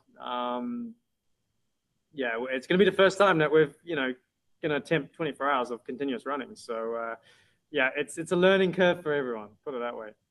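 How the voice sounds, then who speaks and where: Speaking at a moderate pace with long, frequent pauses, a man with a British accent uses lively intonation and a fairly high pitch. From UK. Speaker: racing driver. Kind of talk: interview.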